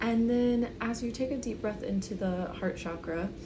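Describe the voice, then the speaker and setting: A soft-spoken woman with a calm tone, amid noticeable background noise. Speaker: breathwork and meditation guide. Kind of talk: guided breathwork session, soft-spoken ASMR. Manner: soft-spoken, calm, instructive.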